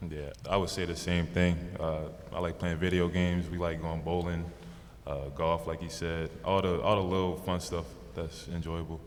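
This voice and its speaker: A man with an American accent speaks in a very deep, low pitch and monotone, flat intonation, with audible room echo. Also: moderate pace. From US Northeast (New York/New Jersey area). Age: 20s. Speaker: basketball rookie. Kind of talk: press conference.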